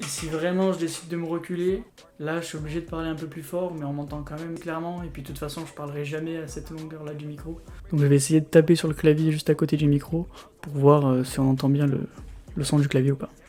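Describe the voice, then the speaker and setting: Soft-spoken, with a dark, mellow tone and a fairly high pitch, a man talks at a very fast pace in a monotone, flat intonation, with big swings in loudness. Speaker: YouTuber reviewing gear. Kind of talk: unboxing tutorial. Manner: halting. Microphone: new USB mic, tested with foam and pop filter.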